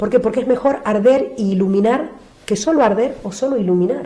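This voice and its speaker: Her tone is dark and mellow, somewhat breathy. The woman's pitch is fairly high, with lively intonation. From Argentina. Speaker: nun. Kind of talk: interview answer.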